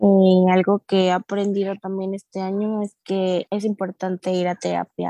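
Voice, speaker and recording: A woman's medium-pitched, dark, mellow voice at a fairly slow pace, monotone and flat, with hardly any pauses, in a dry, close sound with no echo and a quiet background. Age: 30s. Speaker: accountant and cancer survivor. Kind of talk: testimony.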